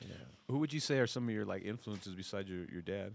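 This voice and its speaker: This man talks very fast. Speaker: podcast host. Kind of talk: casual chat. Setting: live venue before a concert.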